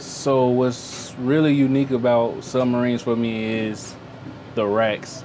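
A man's medium-pitched, monotone voice with flat intonation, in a Memphis accent, at a fairly slow pace over light background noise. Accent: Southern US (Memphis). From US South (Memphis, Tennessee); Tennessee. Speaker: navy sailor, culinary specialist. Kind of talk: interview and tour. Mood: relaxed, positive. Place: boat.

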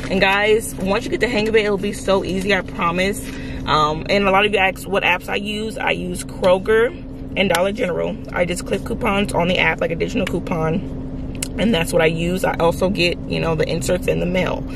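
Speech comes at a fairly quick pace, dry with no echo, against noticeable background noise. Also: woman. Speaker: couponing vlogger. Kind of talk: casual vlog chat. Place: car. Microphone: phone near.

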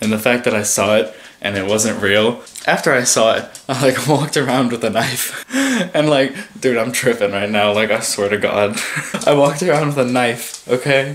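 Against light background noise, a man talks at a moderate pace with ordinary pitch variation. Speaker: vlogger. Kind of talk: casual vlog chat. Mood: excited, nervous, laughing. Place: home room. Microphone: phone near.

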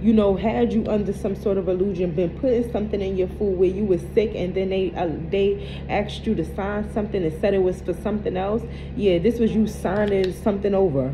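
The speech moves at a fairly quick pace with fairly even intonation. Music plays in the background. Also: woman. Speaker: tarot card reader. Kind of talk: casual reading commentary to viewers. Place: home room. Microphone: phone near.

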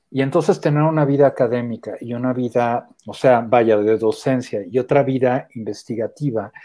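Against a quiet background, a man in a French accent speaks at a moderate pace with a dark, mellow tone and ordinary pitch variation. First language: French (speaking Spanish). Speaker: theatre artist and academic; interviewee. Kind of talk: interview. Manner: halting, with restarts. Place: home room. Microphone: earbuds.

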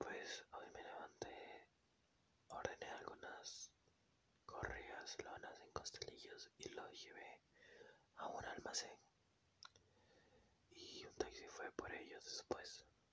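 Whispering at a very slow pace, broken by long, frequent pauses. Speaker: ASMR creator. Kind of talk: ASMR whisper talk. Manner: whispered.

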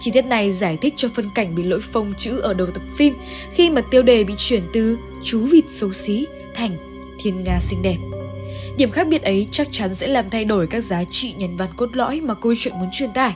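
Over music in the background, a woman with a fairly high voice speaks at a moderate pace with lively intonation. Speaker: narrator. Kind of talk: game lore analysis narration.

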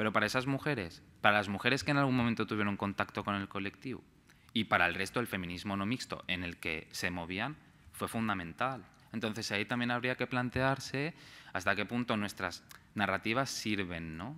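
A man speaks at a fairly quick pace with fairly low pitch. His tone is bright and sharp, and his pitch variation is ordinary. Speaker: researcher; speaker. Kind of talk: conference talk. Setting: stage with audience. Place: hall. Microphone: podium.

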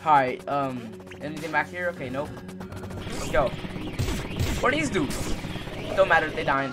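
Music in the background behind a man's moderately paced speech. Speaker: gamer. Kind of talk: gameplay commentary.

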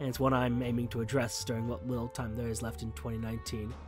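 Someone speaks at a very fast pace with music in the background. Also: man. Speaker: gaming channel host. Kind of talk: casual talk to camera. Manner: rambling.

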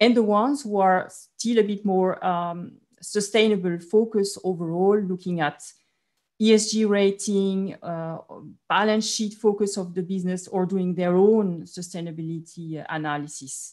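A woman speaks at a fairly slow pace with fairly even intonation against a quiet background. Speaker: finance executive; panelist. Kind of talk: panel discussion. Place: home room. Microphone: video call.

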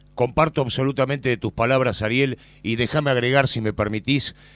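With a Rioplatense accent, a man speaks in a very clean recording against a silent background. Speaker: radio host and interviewer. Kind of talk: radio interview. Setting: outdoors at a memorial event outside a nightclub.

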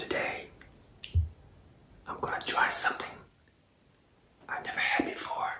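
Whispered speech from a man, fairly slow in pace. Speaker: food ASMR creator. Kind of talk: ASMR eating video talk. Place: kitchen.

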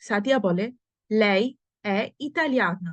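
A woman speaks in an unremarkable speaking voice at a medium pitch. Her intonation is lively, and the sound is dry and close with no echo. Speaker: Italian language teacher. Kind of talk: language lesson reading dialogue aloud.

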